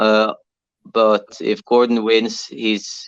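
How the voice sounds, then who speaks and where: A man speaks in a Norwegian accent at a medium pitch. The background is quiet. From Norway. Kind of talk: interview. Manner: halting, many fillers.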